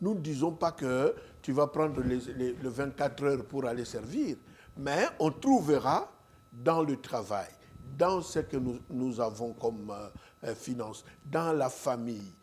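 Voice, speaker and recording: A man speaks very slowly at medium pitch with ordinary pitch variation. His speech has long, frequent pauses. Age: 70s. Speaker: pastor, evangelist. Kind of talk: interview, preaching style. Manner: hesitant, many fillers.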